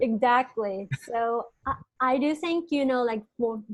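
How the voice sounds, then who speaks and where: A woman talks at a fairly slow pace. Her voice is high-pitched. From China. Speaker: podcast host who stutters. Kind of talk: interview conversation. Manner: heavy stuttering with repetitions.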